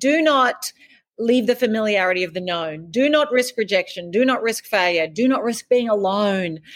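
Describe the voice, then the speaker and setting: With an Australian accent, a woman speaks at a moderate pace. Her fairly high voice has lively intonation. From rural Australia. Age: 50s. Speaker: author and life coach. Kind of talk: interview.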